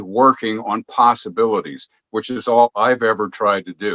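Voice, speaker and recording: A man's bright, sharp voice at a moderate pace, dry and close with no echo. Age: 70s. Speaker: guest host of an alternative media interview. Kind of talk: interview. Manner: halting, with repetitions.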